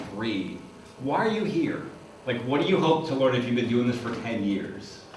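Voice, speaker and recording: With lively intonation, a man talks at a medium pitch and moderate pace, with audible room echo and noticeable background noise. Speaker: seminar instructor. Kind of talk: lecture. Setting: seminar room with audience.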